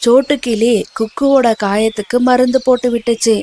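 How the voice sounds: In a dry, close sound with no echo, a woman with a fairly high pitch and slightly mellow tone speaks at a moderate pace with ordinary pitch variation.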